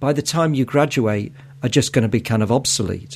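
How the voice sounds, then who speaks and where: This is a man's voice at a medium pitch. His pitch variation is ordinary. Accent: Mancunian. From Manchester, northern England. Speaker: podcast host. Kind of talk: podcast interview.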